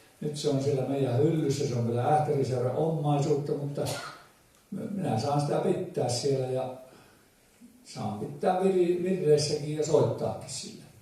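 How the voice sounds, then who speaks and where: Over noticeable background noise, a man with a fairly high pitch talks at a fairly slow pace, taking long, frequent pauses. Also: ordinary pitch variation. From Ähtäri, South Ostrobothnia, Finland. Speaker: folk musician. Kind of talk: dialect storytelling to a live audience. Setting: live event hall.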